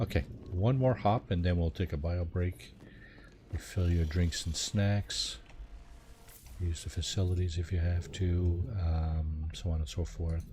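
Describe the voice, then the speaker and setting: A man talks in a very deep, low pitch with a dark, mellow tone and a somewhat breathy quality. His pace is fairly slow, with long, frequent pauses. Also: ordinary pitch variation. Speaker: video game streamer. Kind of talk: live gameplay commentary. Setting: live stream. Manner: soft-spoken. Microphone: quiet, low volume.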